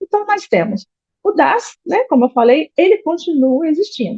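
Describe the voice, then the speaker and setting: A woman speaks with a Brazilian accent at a high pitch. Her pitch swings very widely. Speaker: accountant. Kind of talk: lecture. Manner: fast.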